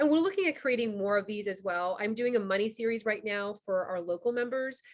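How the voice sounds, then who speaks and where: Fairly quick speech from a woman in an American accent, fairly high in pitch with ordinary pitch variation. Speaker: business community founder. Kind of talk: online member orientation presentation. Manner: fast; casual, filler-heavy.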